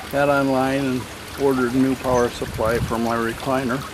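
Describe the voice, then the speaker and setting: A man's intonation stays monotone and flat as noticeable background noise plays behind him. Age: 70s. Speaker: DIY garden builder. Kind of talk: casual vlog narration. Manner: halting.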